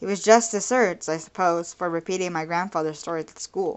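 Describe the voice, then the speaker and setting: This is an ordinary speaking voice, its pitch varying in an ordinary way. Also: woman. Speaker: amateur audiobook reader. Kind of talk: audiobook reading.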